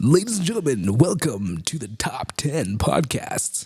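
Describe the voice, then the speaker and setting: A man puts on a character voice at a fairly high pitch. His pitch swings very widely. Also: moderate pace. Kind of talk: cool announcer voice.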